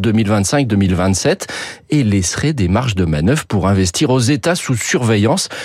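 Pitched at a medium level, a man's voice moves in very wide pitch swings. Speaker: radio economics commentator. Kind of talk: news reading, radio editorial. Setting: radio studio. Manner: formal, steady, informative.

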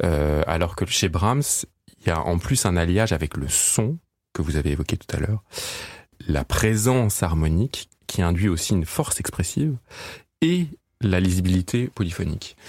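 A man with a very deep, low pitch speaks at a moderate pace, with lively intonation and long, frequent pauses. His loudness stays very even, and the recording is very clean, dry and close, with no echo and a silent background. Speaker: classical pianist. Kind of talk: interview. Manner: halting, many hesitations.

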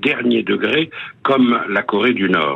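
Noticeable background noise runs under a man who speaks at a fairly slow pace. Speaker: radio columnist on world affairs. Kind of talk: scripted news commentary. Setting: phone line, stuck in a lift. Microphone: telephone-quality voice.

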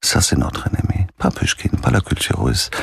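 A man's voice in a dry, close sound with no echo. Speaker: music festival director. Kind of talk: radio interview. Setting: radio studio. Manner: halting, repeats words.

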